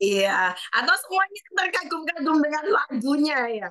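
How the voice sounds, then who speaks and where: The pace here is fairly slow. This voice is raised and projected. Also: woman. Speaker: online event host for a sales network. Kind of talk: online meeting hosting. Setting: video call. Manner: animated, chatty.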